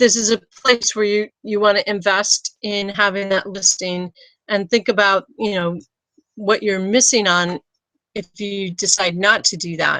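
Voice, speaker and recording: The woman's tone is bright and sharp at a medium pitch, with fairly even intonation. She speaks at a fairly slow pace, with a dry, close sound and no echo. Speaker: business consultant. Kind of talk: webinar tutorial.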